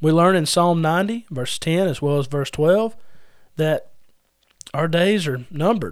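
A high-pitched male voice at a moderate pace, with ordinary pitch variation and audible room echo. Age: 30s. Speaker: podcast host and preacher. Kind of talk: sermon-style Bible teaching podcast.

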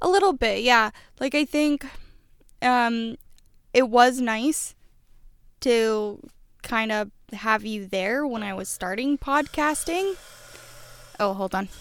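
In a very clean recording with a silent background, a woman with a fairly high pitch speaks at a very slow pace with lively intonation and long, frequent pauses. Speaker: podcast co-host. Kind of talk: casual chat. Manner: rambling, tangential.

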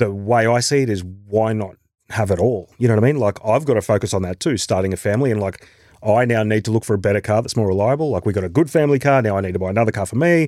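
Someone with an Australian accent speaks at a very fast pace with ordinary pitch variation in a very clean recording with a silent background. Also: man, fairly low pitch for a man. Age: 40s. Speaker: actor and musician. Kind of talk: casual chat.

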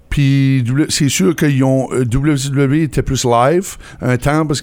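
A man speaks at a medium pitch and a very slow pace. His pitch varies in an ordinary way. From northern New Brunswick, Canada (Campbellton area). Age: 30s. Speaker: car dealership owner. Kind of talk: casual interview.

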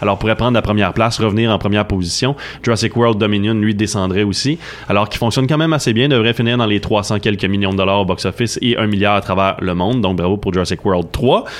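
In a Quebec accent, the voice moves at a very fast pace with ordinary pitch variation and very even loudness. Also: man, fairly low pitch for a man. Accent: Québécois French. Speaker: film columnist. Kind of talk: radio chronicle, casual chat.

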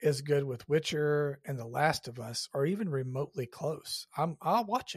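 With an unremarkable speaking voice and an American accent, a man talks at a moderate pace with ordinary pitch variation, in a dry, close sound with no echo. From Georgia, US South. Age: 50s. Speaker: podcast host. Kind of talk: casual interview chat.

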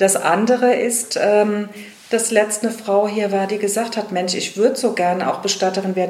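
A woman speaks at a medium pitch. Audible room echo and noticeable background noise are present. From Rheinhessen, Germany. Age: 50s. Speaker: funeral director. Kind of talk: interview.

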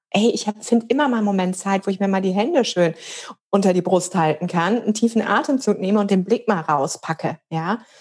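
Somewhat breathy, a woman talks at a fairly quick pace. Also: medium pitch for a woman, ordinary pitch variation. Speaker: coach and yoga teacher. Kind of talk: casual interview chat.

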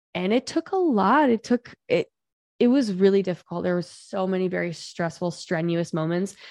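A woman with a normal speaking voice talks at a moderate pace and medium pitch with ordinary pitch variation. The sound is dry and close with no echo, over a quiet background. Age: 30s. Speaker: business coach. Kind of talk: interview.

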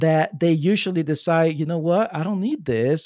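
With an American accent and an ordinary speaking voice, the speaker goes at a fairly quick pace with ordinary pitch variation, in a dry, close sound with no echo and a very clean recording over a silent background. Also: man. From New Jersey. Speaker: sales and marketing coach. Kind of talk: podcast interview.

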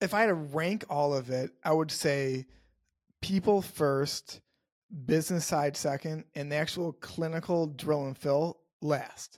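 This man has a plain, everyday voice, pitched fairly high with ordinary variation. He talks at a fairly slow pace. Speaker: dentist and podcaster. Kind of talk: interview.

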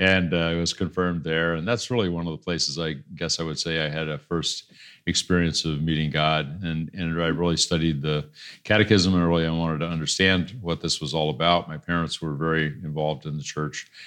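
A man with a US Midwestern accent speaks in a very deep, low pitch. He goes at a fairly quick pace with fairly even intonation against a quiet background. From Iowa, US Midwest. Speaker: entrepreneur and pastor. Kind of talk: interview. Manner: halting.

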